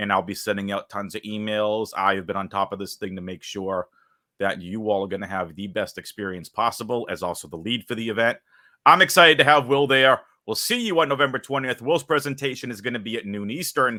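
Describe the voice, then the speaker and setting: Against a silent background on a very clean recording, a man with a Boston accent speaks fairly quickly, with a fairly low pitch, a bright, sharp tone and lively intonation. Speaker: interviewer, event organizer. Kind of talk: interview.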